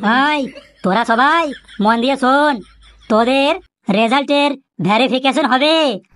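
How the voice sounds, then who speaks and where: A high-pitched cartoonish character voice from a woman, delivered at a fairly slow pace. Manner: formal, authoritative.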